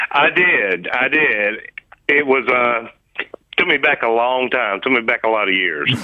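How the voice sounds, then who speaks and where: The pace is fairly slow, with lively intonation. Loudness stays very even throughout. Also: man, medium pitch for a man. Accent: Southern US. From US South, Nashville, Tennessee. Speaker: caller, radio quiz contestant. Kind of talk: phone-in chat. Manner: halting.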